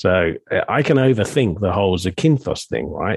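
An unremarkable speaking voice from a man, fairly low in pitch, with lively intonation at a moderate pace and a dry, close sound with no echo. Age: 50s. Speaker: coach and podcast host. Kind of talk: casual chat.

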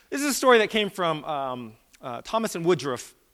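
A man with an American accent has an unremarkable speaking voice and lively intonation. The recording is very clean, with a silent background. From Virginia, US. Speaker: guest speaker, academic. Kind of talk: sermon-style talk. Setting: church stage with audience.

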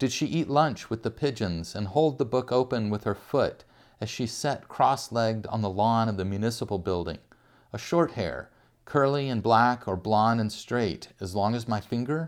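Here is an unremarkable speaking voice from a man with medium pitch and ordinary pitch variation. He talks at a moderate pace on a very clean recording with a silent background. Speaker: podcast host and poet. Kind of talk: poem reading; casual chat. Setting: home couch. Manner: warm, relaxed, conversational.

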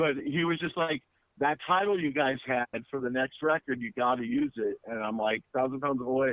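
With a plain, everyday voice, a man speaks at a moderate pace and medium pitch, using ordinary pitch variation. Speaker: punk band musician. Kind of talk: casual interview.

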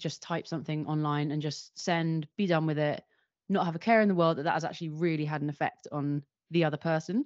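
A woman with a London accent speaks at a fairly low pitch. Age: 30s. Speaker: video producer and director. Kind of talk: interview conversation.

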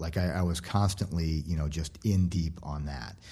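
A man speaks at a moderate pace. His tone is dark and mellow, and somewhat breathy. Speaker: former food company CEO. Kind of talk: interview. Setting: studio.

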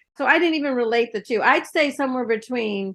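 Against a quiet background, a woman with a fairly high pitch and an ordinary speaking voice talks at a fairly quick pace with lively intonation. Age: 60s. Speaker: cancer survivor and patient advocate. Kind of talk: panel discussion.

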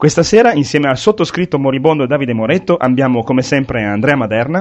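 This man rattles along at a very fast pace, his fairly high voice full of lively intonation. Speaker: podcast host. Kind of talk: casual chat.

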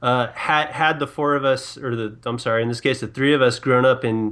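A man speaks in a plain, everyday voice. His intonation is fairly even. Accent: American. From San Diego, California. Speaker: sports podcast guest. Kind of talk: casual panel discussion.

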